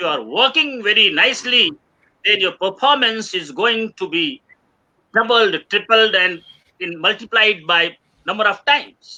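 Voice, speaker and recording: A man with an Indian accent uses a raised, projected voice at a high pitch with lively intonation. His tone is bright and sharp. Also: fairly slow pace. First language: Hindi. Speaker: webinar speaker. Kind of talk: lecture. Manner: halting.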